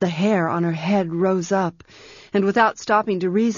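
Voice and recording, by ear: A passage is read aloud in a natural voice.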